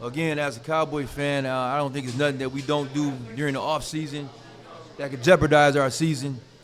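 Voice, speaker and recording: A man at a fairly high pitch talks at a fairly quick pace in a monotone, flat intonation, with audible room echo and noticeable background noise. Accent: American. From Ohio, Toledo. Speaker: sports business owner. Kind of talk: casual chat.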